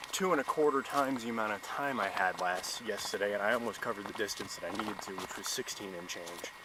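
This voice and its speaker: Against noticeable background noise, a man talks at a very fast pace with very wide pitch swings. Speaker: hiker vlogger. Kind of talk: trail vlog. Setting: outdoors.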